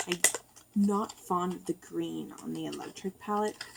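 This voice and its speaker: Here a woman speaks at a medium pitch. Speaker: beauty vlogger. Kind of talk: makeup tutorial. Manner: hesitant, many fillers. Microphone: far from the camera.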